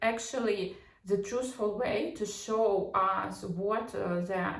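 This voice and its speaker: With a non-native accent, a woman speaks at a fairly high pitch and ordinary pitch variation, with audible room echo. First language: not English. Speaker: psychology and pop culture commentator. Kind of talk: casual commentary monologue. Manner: halting, many fillers and false starts.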